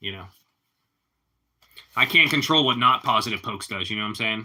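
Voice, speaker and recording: At a very fast pace, a man with a Pittsburgh accent speaks in a fairly low pitch with fairly even intonation. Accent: Pittsburghese. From Pittsburgh, Pennsylvania. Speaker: live streamer. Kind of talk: casual chat.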